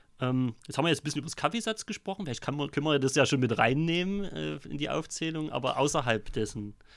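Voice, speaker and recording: With lively intonation, a man rushes along at a very fast pace with hardly any pauses. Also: fairly high pitch for a man. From Vogtland, Saxony. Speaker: podcast host. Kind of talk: casual chat. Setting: in a pub.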